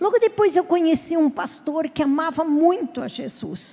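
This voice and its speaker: In a southern Brazilian accent, a woman speaks at a high pitch and a moderate pace. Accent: gaúcho Brazilian Portuguese. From southern Brazil (Rio Grande do Sul). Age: 50s. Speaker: pastor. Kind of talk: sermon.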